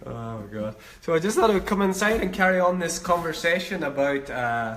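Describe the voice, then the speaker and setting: Over noticeable background noise and audible room echo, a man talks at a moderate pace with lively intonation. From Ireland. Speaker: breathwork coach and live streamer. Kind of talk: casual live-stream monologue. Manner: halting.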